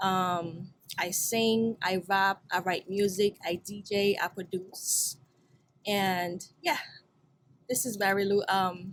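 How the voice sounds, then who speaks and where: In a Haitian accent, a woman speaks at a medium pitch with fairly even intonation. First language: Haitian Creole. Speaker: singer, rapper and producer. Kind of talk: interview. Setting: studio.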